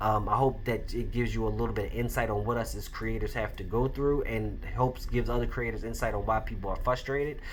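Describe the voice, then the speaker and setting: With audible room echo, a man speaks at a very fast pace with hardly any pauses. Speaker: podcast host and indie comic creator. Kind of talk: casual solo commentary.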